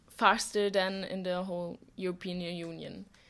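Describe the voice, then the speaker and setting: A woman with a German accent, medium in pitch, at a fairly slow pace. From Germany. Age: young. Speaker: volunteer. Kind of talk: podcast interview. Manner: halting.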